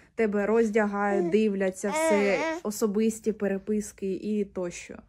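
Very slowly and with fairly even intonation, a woman speaks at a medium pitch in a dark, mellow tone. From Ukraine, Mariupol; Ukraine. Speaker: displaced person appealing for aid. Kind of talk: personal testimony and appeal. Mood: calm, subdued, serious. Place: home room. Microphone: phone near.

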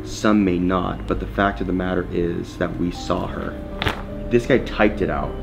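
A man talks at a moderate pace with a very deep, low pitch. Music plays in the background. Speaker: paranormal investigator host. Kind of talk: casual vlog chat and reading aloud. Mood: excited, amused. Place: hall. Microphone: camera far.

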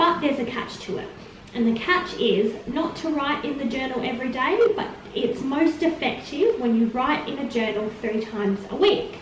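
A woman with a high voice speaks at a moderate pace, with light background noise and audible room echo. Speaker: vlogger. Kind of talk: casual vlog chat. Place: empty room. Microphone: camera far.

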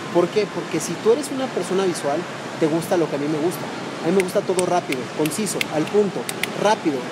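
A man speaks fast and high for a man, with lively intonation over clear background noise.

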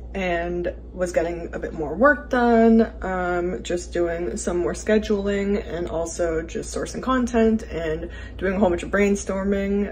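The background has light noise. A woman talks at a fairly slow pace. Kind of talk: casual vlog chat. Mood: cheerful, relaxed. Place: home room. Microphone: phone near.

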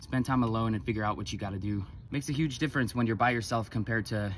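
Over light background noise, a man speaks at a fairly low pitch. The sound is dry, with no echo. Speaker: sobriety vlogger. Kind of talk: casual vlog chat. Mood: reflective, motivational. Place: street. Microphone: phone near.

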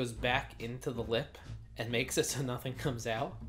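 Faint music sits behind the recording. The man talks at a moderate pace. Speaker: snack reviewer. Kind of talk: casual vlog chat. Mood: playful, chatty. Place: home room. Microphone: camera far.

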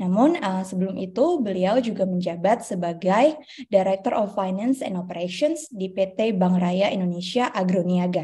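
A woman's somewhat breathy voice with a dark, mellow tone, at a fairly slow pace. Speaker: webinar moderator. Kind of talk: formal moderation. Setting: video call. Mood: cheerful, smiling. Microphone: video call.

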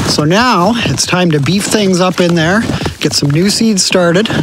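A man is heard in a dry sound with no echo, with noticeable background noise behind him. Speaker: homesteader vlogger. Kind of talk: casual vlog chat. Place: forest. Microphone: phone near.

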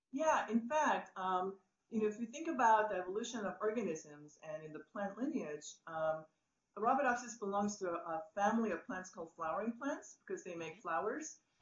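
Her pitch swings very widely as this woman talks at a fairly quick pace. Audible room echo surrounds the voice. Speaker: plant biologist. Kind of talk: panel interview. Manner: enthusiastic. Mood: enthusiastic, friendly. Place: office. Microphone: video call.

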